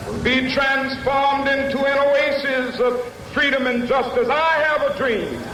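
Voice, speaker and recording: Amid noticeable background noise, a man raises and projects his voice at an extremely high pitch. His tone is solemn and passionate, his intonation monotone and flat. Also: fairly slow pace. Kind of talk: public speech, oratory. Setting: outdoors, large crowd rally. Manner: solemn, passionate, rhetorical, rhythmic.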